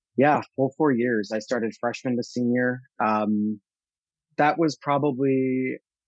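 A man with an American accent speaks at a medium pitch with fairly even intonation. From US Northeast, central New Jersey. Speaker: marketplace general manager. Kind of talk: interview conversation. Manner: direct, blunt.

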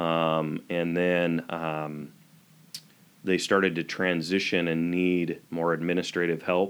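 Very slowly, a man with an American accent speaks in a very deep, low, monotone, flat voice. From eastern Washington, US. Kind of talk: interview.

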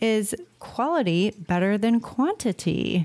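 With a plain, everyday voice, a woman speaks at a fairly high pitch using lively intonation. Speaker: podcast co-host. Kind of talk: casual chat. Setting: remote call.

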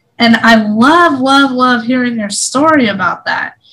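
Her voice sits high in pitch. The woman talks at a moderate pace. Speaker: podcast host. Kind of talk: casual interview. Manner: giddy.

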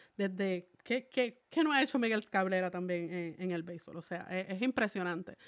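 A woman's plain, everyday voice at medium pitch and moderate pace, with ordinary pitch variation, hardly any pauses, and a very clean recording with a silent background. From Puerto Rico, Salinas. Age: 20s. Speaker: sports journalist and podcast co-host. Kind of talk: casual chat.

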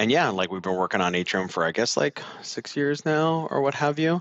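Talking fairly quickly, a man speaks with an American accent. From Southern California. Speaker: author and startup founder. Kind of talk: interview.

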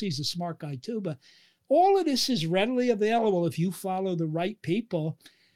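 In a very clean recording with a silent background, a man with a high voice speaks at a fairly quick pace, his intonation lively. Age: 70s. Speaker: physician and lipid expert. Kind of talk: interview explaining science.

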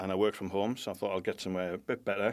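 Flat and monotone, a man with a British accent talks at a fairly low pitch on a very clean recording with a silent background. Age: 40s. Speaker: graphic designer. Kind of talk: casual chat.

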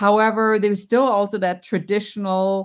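A woman with a German accent at medium pitch and ordinary pitch variation, on a very clean recording with a silent background. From Germany. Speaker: professor and wellness coach. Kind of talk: interview. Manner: animated.

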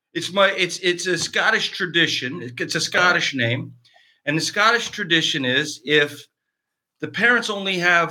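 A man with a Canadian accent talks fairly slowly in a high voice. His tone is bright and sharp, with ordinary pitch variation. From Canada, eastern Ontario. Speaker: actor. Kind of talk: casual chat.

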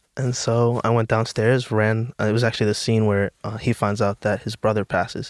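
A man with an American accent, monotone and flat, hardly any pauses, in a dry, close sound with no echo. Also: medium pitch for a man, fairly quick pace. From US Northeast, the Bronx, New York City. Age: 20s. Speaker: actor. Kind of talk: casual chat.

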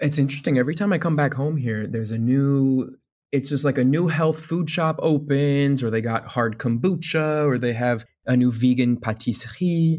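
An American accent marks this man's speech, which has a fairly high pitch, ordinary pitch variation and a moderate pace. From Indiana, US Midwest. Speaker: travel YouTuber and author. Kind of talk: interview.

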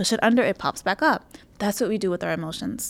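The tone is warm. Words come at a very fast pace. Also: woman. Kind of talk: pep talk coaching monologue. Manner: emphatic, driving, insistent; warm, direct, motivational.

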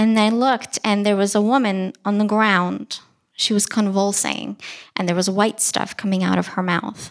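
A woman speaks at a medium pitch and a moderate pace with monotone, flat intonation. The recording is very clean, with a silent background. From Ukraine. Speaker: psychologist. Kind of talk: live storytelling. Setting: stage with audience.

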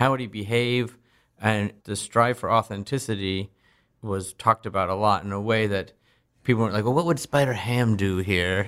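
Very cleanly recorded over a silent background, a man uses a normal speaking voice at a fairly low pitch, a moderate pace and ordinary pitch variation. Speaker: film director. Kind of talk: interview chat about a film.

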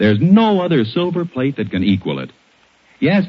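A man is speaking. His pitch swings very widely. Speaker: radio announcer. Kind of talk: old-time radio commercial. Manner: polished, formal, salesman-like.

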